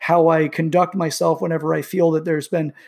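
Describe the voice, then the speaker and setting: At a fairly quick pace, a man with a fairly high pitch speaks in fairly even intonation, recorded very cleanly against a silent background. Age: 40s. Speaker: self-help video host. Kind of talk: solo monologue. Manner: halting, with many fillers.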